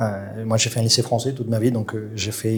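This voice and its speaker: A man speaks with a slight South American accent. His intonation is a flat monotone. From Colombia. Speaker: chef. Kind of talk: interview. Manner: hesitant, many fillers.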